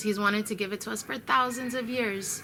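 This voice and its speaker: A woman with a Chicago accent, medium pitch and moderate pace. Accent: American, Chicago. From US Midwest, Chicago. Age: 30s. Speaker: vlogger. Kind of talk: spiritual video update. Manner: earnest, with hesitations.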